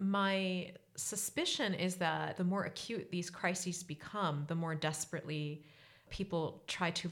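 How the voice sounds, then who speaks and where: In a very clean recording with a silent background, a woman speaks at a moderate pace. She has a plain, everyday voice with fairly even intonation. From US. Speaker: anthropologist. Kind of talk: interview.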